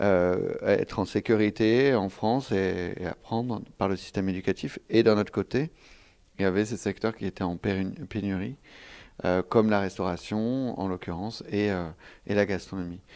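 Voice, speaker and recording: At a moderate pace and with fairly even intonation, the voice comes through on a very clean recording with a silent background. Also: man, fairly low pitch for a man. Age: 30s. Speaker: film director. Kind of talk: interview. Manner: halting.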